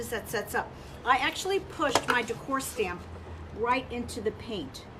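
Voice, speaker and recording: Over noticeable background noise, a woman speaks at a moderate pace in a high pitch with very wide pitch swings. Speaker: furniture painting livestream host. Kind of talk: live tutorial stream. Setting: livestream video. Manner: casual, chatty; quiet while concentrating.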